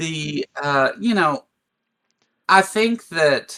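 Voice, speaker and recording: The voice has a bright, sharp tone and a Kentucky accent. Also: man. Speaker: atheist commentator. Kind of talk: casual discussion. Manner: halting.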